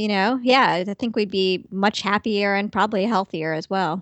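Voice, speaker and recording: A woman's normal speaking voice at a medium pitch and moderate pace, with fairly even intonation. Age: 40s. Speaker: dietitian. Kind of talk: interview.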